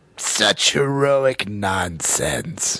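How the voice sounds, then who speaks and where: This man uses a put-on character voice. His pitch sits at a medium level. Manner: grandiose, theatrical.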